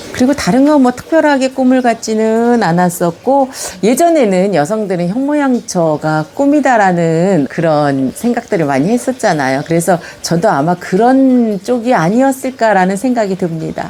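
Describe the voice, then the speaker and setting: A woman speaks at a fairly high pitch with very wide pitch swings, hardly any pauses and very even loudness. Noticeable background noise runs under her voice. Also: moderate pace. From Gyeonggi Province, Yongin (South Korea). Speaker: senior recounting her life story. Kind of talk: autobiographical storytelling to camera. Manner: conversational, reflective.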